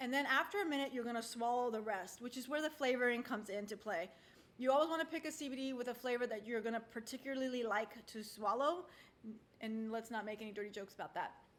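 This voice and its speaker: Her high-pitched voice moves at a very fast pace with ordinary pitch variation as the woman speaks. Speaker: wellness product presenter. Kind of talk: tutorial. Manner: casual, filler-heavy.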